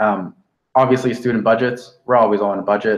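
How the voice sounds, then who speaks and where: Here a man with a Canadian accent talks in a plain, everyday voice. His pace is fairly quick and his intonation fairly even. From Canada. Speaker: veterinary student. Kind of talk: webinar talk. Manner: casual, many fillers.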